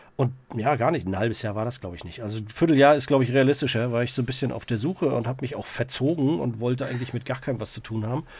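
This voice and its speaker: A man speaks at a very fast pace in a medium pitch. His voice is somewhat breathy. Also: ordinary pitch variation. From Greifswald, northeastern Germany. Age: 40s. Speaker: social worker and punk singer. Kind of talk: casual interview chat.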